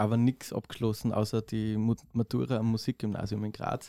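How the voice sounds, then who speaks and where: A man speaks in a dark, mellow tone. The sound is dry and close with no echo, a very clean recording with a silent background. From Austria, southeastern Styria. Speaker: drummer and music producer. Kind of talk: casual chat.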